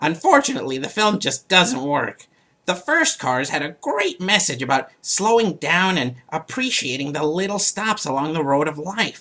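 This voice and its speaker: At a moderate pace and a middle pitch, the speaker uses a put-on character voice. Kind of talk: comedic movie review show.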